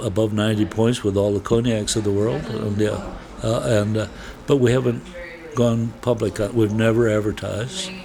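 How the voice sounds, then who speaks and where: A man with an American accent, fairly low pitch and ordinary pitch variation, speaking at a moderate pace amid noticeable background noise. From US Midwest, Wisconsin. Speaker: winery owner, former neurosurgeon. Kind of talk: interview. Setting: on location at a winery.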